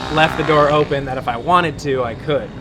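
Over noticeable background noise and audible room echo, a man speaks at a moderate pace and a fairly high pitch with fairly even intonation. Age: 20s. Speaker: RC helicopter pilot. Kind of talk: casual chat.

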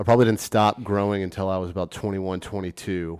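A man with an American accent and a very deep, low pitch speaks with fairly even intonation in a very clean recording with a silent background and a dry, close sound with no echo. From US South, Memphis, Tennessee. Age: 30s. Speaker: purchaser at a beverage distributor. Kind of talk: interview.

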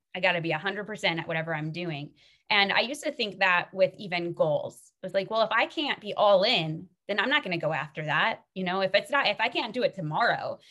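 A woman with an American accent talks at a fairly quick pace. Her tone is bright and sharp, and her intonation lively. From Minnesota. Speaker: faith-based author and coach. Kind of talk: casual interview chat.

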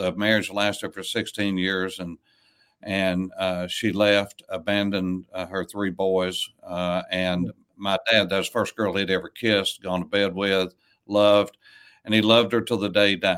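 A man with an Appalachian accent speaks at a moderate pace with a fairly low pitch. His intonation is monotone and flat on a very clean recording with a silent background. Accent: Southern US (Appalachian). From East Tennessee, US South. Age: 60s. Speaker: pastor. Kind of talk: casual chat. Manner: halting.

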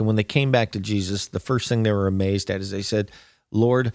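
In a very clean recording with a silent background, a man uses an ordinary speaking voice, fairly low in pitch, with fairly even intonation. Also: dry, close sound with no echo. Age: 50s. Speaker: pastor. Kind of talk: sermon. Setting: studio.

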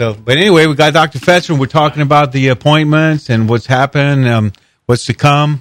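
Recorded very clean with a silent background and a dry, close sound with no echo, a man with an ordinary speaking voice talks at a fairly quick pace with a fairly high pitch and ordinary pitch variation. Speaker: radio co-host. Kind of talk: talk radio co-host.

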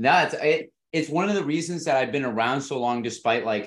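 A man with a plain, everyday voice talks at a fairly quick pace. His intonation is lively. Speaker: podcast host. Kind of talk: casual interview.

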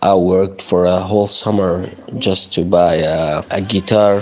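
A man talks at a very slow pace in a very deep, low voice. His intonation is fairly even. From Syria. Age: young. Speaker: refugee. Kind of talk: casual chat. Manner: halting.

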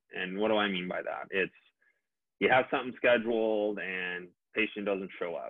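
Using an unremarkable speaking voice with an American accent, a man speaks at a fairly low pitch, a moderate pace and with fairly even intonation. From Minnesota. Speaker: dentist. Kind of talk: interview.

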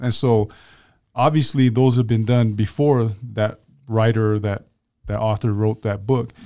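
In a very clean recording with a silent background, a man with a medium pitch and a dark, mellow tone speaks at a fairly slow pace with fairly even intonation and long, frequent pauses. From Tongan-American, West Valley. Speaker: podcast co-host. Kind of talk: casual interview.

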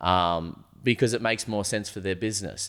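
A man with an Australian accent speaks fairly quickly in a fairly low voice with ordinary pitch variation. The recording is very clean, with a silent background. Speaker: supplement store owner. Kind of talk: casual chat. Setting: studio.

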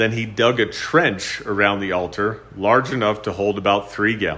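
The clip contains plain reading aloud. Nothing more is done with the delivery.

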